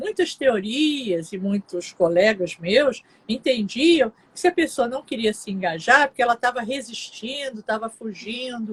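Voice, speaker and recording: A woman speaks at a fairly slow pace in a plain, everyday voice, fairly high with lively intonation. The sound is dry and close with no echo. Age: 60s. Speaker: psychologist. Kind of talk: live interview.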